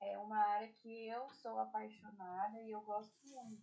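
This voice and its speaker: A woman speaks at a fairly high pitch. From Brazil, Ribeirão Preto (São Paulo state). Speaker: orthodontics lecturer. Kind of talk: online lecture. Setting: video call. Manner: slow and deliberate.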